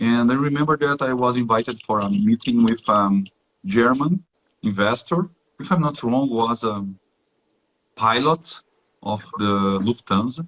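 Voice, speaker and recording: A man with a Brazilian accent speaks at medium pitch and a fairly slow pace, with ordinary pitch variation and long, frequent pauses. The sound is dry and close, with no echo. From southern Brazil, Rio Grande do Sul. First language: Portuguese. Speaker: technical professional, guest. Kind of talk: live interview in second language. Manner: halting, many fillers and repetitions.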